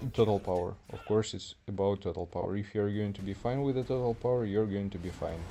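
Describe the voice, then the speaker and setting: Speaking at a very fast pace with a non-native accent, a man uses a fairly low pitch, a dark, mellow tone and fairly even intonation. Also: hardly any pauses. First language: not English. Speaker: gaming streamer. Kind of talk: live gameplay stream. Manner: casual, chatty.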